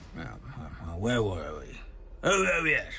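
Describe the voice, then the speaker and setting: A man performs a put-on character voice. Clear background noise runs beneath him. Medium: video game. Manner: dry, rambling, hesitant.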